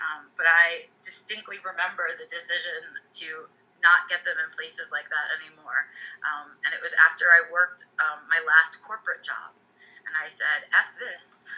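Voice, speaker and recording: With music playing in the background, a woman with an American accent speaks in big swings of loudness. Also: moderate pace. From United States. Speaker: podcast co-host and teacher. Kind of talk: casual chat.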